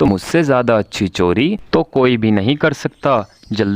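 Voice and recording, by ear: Someone is reading aloud in a natural voice, the intonation lively throughout.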